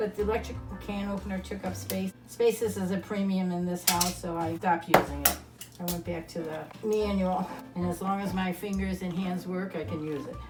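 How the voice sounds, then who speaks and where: Woman talking at a fairly quick pace amid noticeable background noise. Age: 80s+. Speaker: home cook. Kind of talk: cooking tutorial. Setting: home kitchen.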